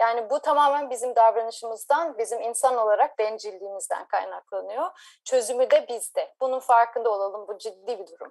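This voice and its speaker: A woman with an ordinary speaking voice talks at a fairly quick pace with hardly any pauses, at a fairly high pitch with ordinary pitch variation. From Turkey, Ankara. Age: 40s. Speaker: marine scientist. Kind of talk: interview.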